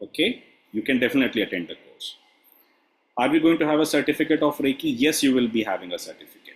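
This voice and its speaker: A man with vocal fry talks at a very fast pace, his fairly high pitch carried by lively intonation. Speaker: reiki teacher. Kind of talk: Q&A session.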